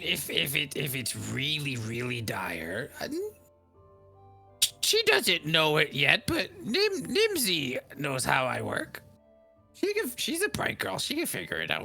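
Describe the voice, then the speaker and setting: A put-on character voice at a very slow pace with long, frequent pauses, and faint music in the background. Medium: actual play. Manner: doting, fussy, chatty, calls people sweetie and honey.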